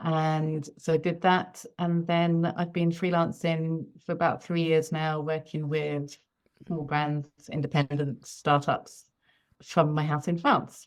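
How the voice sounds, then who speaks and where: With a British accent, a woman speaks very slowly in a very deep, low monotone. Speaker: freelance knitwear designer. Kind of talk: interview.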